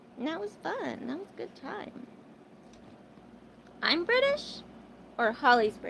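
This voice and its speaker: Noticeable background noise runs under a woman talking with an American accent. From Arizona, US. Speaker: livestreamer. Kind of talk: casual livestream chat with viewers. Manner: chatty, filler-heavy.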